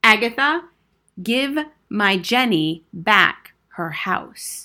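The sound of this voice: A woman's put-on character voice, bright and sharp in tone, with lively intonation and a very slow pace. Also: medium pitch for a woman.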